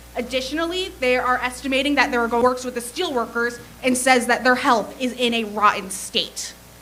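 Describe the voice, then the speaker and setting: A woman with an American accent speaks at a fairly quick pace in a high voice with ordinary pitch variation and hardly any pauses, amid noticeable background noise and audible room echo. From New Jersey (Bergen County). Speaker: public commenter. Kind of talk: public comment at a meeting. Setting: city planning commission meeting.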